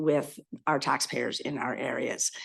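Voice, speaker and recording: A woman speaks with a very deep, low pitch and fairly even intonation. The background is quiet. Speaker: electoral area director. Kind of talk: committee meeting discussion. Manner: halting, many fillers.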